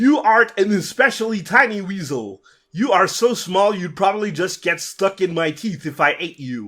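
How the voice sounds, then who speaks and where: A man bellows in a put-on character voice pitched high. The recording is very clean, with a silent background. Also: moderate pace. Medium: read story. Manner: bellowing, brutish.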